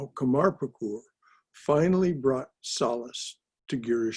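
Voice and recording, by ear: Behind the voice, everything is quiet. The text is read aloud in a natural voice.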